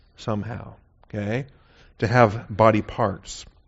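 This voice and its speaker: A man speaks with an American accent at a fairly slow pace. His is a normal speaking voice with ordinary pitch variation. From US Pacific Northwest (Seattle). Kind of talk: sermon.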